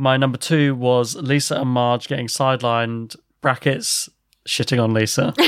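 At a moderate pace, a man with an ordinary speaking voice talks at a medium pitch with fairly even intonation. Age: 30s. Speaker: podcast co-host. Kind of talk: casual chat.

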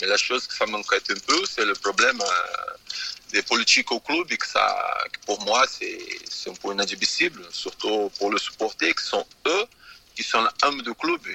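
Noticeable background noise sits behind a man's voice. The sound itself is dry and close, with no echo. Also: fairly slow pace. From Brazil. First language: Portuguese (speaking French). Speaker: former footballer. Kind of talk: radio interview. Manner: halting, frequent 'tu vois'.

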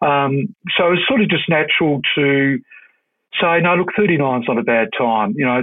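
An Australian-accented man's fairly high, lively voice at a moderate pace and very even loudness. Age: 60s. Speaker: retired police officer. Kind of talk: interview. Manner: halting.

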